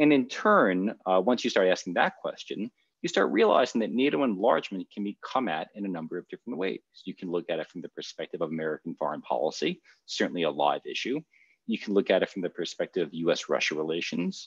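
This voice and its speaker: The speech comes at a very fast pace. The sound is dry with no echo against a quiet background. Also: man. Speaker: panel moderator. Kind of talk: panel introduction. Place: home room.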